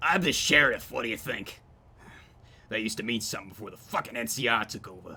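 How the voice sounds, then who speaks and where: Using a put-on character voice at a medium pitch, a man races along at a very fast pace with lively intonation and big swings in loudness. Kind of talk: gruff, profane. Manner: sarcastic, irritated, bitter.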